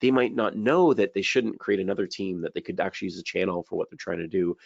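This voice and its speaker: A man's fairly low-pitched voice, dry and close with no echo. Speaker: IT consultant presenting webinar. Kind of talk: webinar presentation. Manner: fast.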